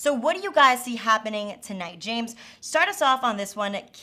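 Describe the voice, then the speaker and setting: A woman with an American accent at a fairly high pitch and moderate pace, with very wide pitch swings and noticeable background noise. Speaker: sports betting show host. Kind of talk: casual panel discussion.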